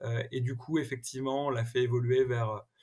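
A man's voice, a bit breathy, comes through against a quiet background. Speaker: tech entrepreneur; podcast guest. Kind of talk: interview. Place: home room.

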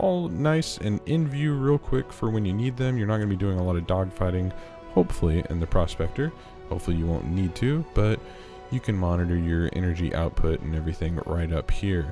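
Over music in the background, a man's very deep, low voice moves through very wide pitch swings. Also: fairly quick pace. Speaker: gaming YouTuber. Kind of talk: game ship tour narration. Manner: enthusiastic.

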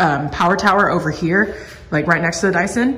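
With audible room echo, a woman speaks with ordinary pitch variation. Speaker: vlogger. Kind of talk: casual vlog chat. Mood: happy, content. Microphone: phone near.

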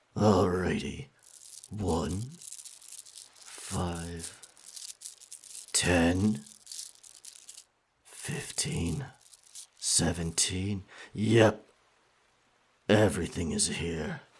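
A man puts on a character voice with a very deep, low pitch. He goes at a very slow pace with long, frequent pauses. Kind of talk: ASMR roleplay. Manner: confident, dominant.

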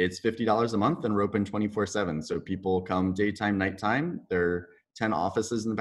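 A man speaks at a fairly quick pace with a fairly low pitch and ordinary pitch variation, in an unremarkable speaking voice. The background is quiet. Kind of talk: interview answer. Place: workshop. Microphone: webcam.

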